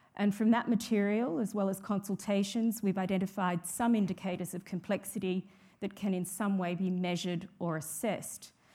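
With an Australian accent, a woman talks at medium pitch in a dark, mellow tone that is somewhat breathy, with fairly even intonation on a very clean recording against a silent background. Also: fairly quick pace. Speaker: judge and law reform commission president. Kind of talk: conference keynote speech. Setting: stage with audience. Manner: formal.

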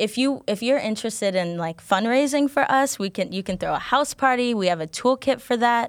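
In a normal speaking voice, a woman talks at a fairly quick pace with fairly high pitch and lively intonation, on a very clean recording with a silent background. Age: 20s. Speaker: nonprofit director and activist. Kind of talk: radio interview.

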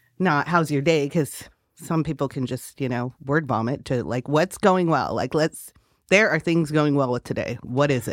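In an American accent, a woman speaks at a moderate pace with a very deep, low pitch and ordinary pitch variation, on a very clean recording with a silent background. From California. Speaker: hotel general manager and city councilor. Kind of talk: interview. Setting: radio studio.

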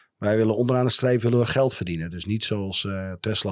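A man speaks in a plain, everyday voice. It sits fairly low in pitch, with ordinary pitch variation. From Friesland, Netherlands (Heerenveen). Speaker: company founder and director. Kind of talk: interview. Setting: studio.

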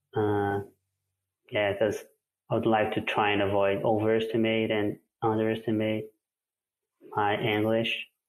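A man with a fairly low pitch speaks at a moderate pace in a flat monotone, his loudness very even, with long, frequent pauses and music playing in the background. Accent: Portuguese. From Brazil, Belo Horizonte. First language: Portuguese. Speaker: listener asking a question. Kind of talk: recorded voice message question.

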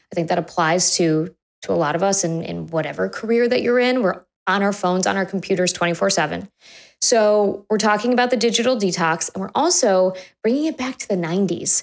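Here is a normal speaking voice with ordinary pitch variation. The pace is fairly quick. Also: woman. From Chicago. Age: 30s. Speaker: podcast host, former journalist. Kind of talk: casual interview chat; scripted intro.

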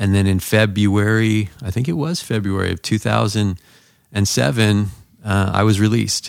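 A man with an American accent and an unremarkable speaking voice, fairly low-pitched, at a moderate pace with fairly even intonation. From Southern California. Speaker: pastor. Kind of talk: testimony.

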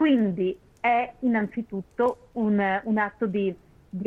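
A woman at a fairly slow pace, medium in pitch, with ordinary pitch variation. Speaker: opera writer and critic. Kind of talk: interview about opera history.

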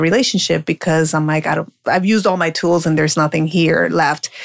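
Talking at a fairly quick pace, a woman with a plain, everyday voice and an American accent speaks at a fairly low pitch. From Colombia (Medellin), raised partly in US. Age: 40s. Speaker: life coach and speaker. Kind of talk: interview.

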